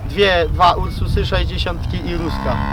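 Speaking at a moderate pace, a man with a Podhale accent is heard over noticeable background noise. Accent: Podhale highlander dialect. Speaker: farmer. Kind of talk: interview answer. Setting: outdoors.

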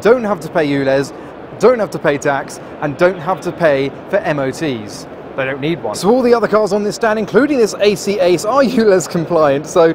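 Over noticeable background noise, a man talks at a moderate pace. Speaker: car vlogger. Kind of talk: casual vlog chat. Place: hall. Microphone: phone near.

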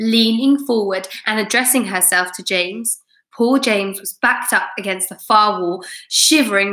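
Someone reads aloud in a natural voice against a quiet background.

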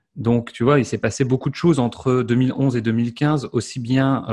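Against a quiet background, a man speaks at a fairly slow pace. His medium-pitched voice has a dark, mellow tone and ordinary pitch variation. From France. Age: 30s. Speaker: online entrepreneur and French teacher; French teacher. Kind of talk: interview. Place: home room. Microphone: studio mic.

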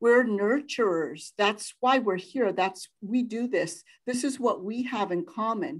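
With a normal speaking voice, a woman talks fairly slowly in a fairly high pitch with lively intonation and hardly any pauses. The background is quiet. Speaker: nonprofit advocacy coordinator hosting the event. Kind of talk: formal introduction. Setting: video call.

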